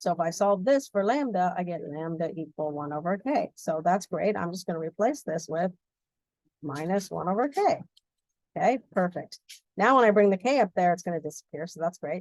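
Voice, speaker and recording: Lively intonation carries the speech along at a fairly quick pace. The sound is dry and close, without echo. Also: woman, medium pitch for a woman. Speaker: physics instructor. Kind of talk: lecture. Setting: recorded video lesson. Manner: fast.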